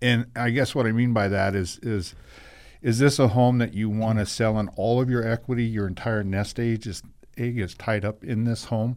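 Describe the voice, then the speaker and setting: A man in an ordinary speaking voice, with fairly even intonation and a moderate pace. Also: medium pitch for a man. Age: 60s. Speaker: real estate broker. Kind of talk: radio talk show interview.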